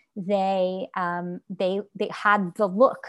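Recorded very cleanly against a silent background, a woman speaks at a medium pitch with a Canadian accent. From Quebec, Canada. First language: Yiddish. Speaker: author. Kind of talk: interview.

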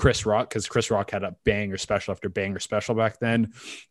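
A man with a Canadian accent and an ordinary speaking voice, fairly low pitch, fairly even intonation, dry, close sound with no echo and a quiet background. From western Canada (British Columbia). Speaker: stand-up comedian. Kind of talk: casual chat.

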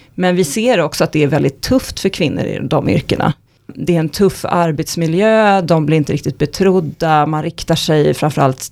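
Speaking at a moderate pace with hardly any pauses, a woman uses a very deep, low pitch, ordinary pitch variation and vocal fry. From Stockholm, Sweden. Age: 40s. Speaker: economist. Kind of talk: podcast interview.

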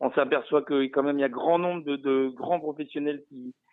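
Fairly quick in pace, a man with an unremarkable speaking voice talks at a fairly high pitch using fairly even intonation. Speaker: horse racing pundit. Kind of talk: casual chat. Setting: phone call. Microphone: choppy phone line.

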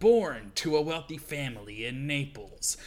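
Using a put-on character voice with a smug tone, a man speaks at a moderate pace in a fairly high pitch. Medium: read story. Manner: smug, taunting.

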